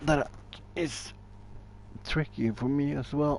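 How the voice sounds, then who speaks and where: Very slow, lively-intoned speech from a man at medium pitch, with a Norwegian accent. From Norway. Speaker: gaming streamer. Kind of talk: casual gameplay commentary.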